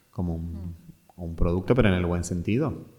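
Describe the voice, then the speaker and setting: The voice belongs to a man. Music can be heard in the background. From Argentina, Mendoza. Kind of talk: interview, personal story. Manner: halting.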